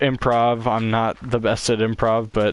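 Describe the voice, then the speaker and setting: The man speaks at a fairly slow pace. His pitch is fairly low. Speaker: gaming streamer. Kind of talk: casual live stream chat. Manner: halting, repeats words.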